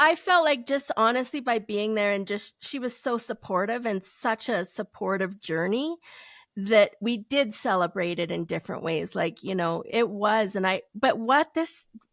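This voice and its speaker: A normal speaking voice from a woman with a fairly high pitch and lively intonation, at a moderate pace, on a very clean recording with a silent background and a dry, close sound with no echo. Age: 40s. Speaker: photographer and confidence coach. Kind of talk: interview answer. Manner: casual, chatty.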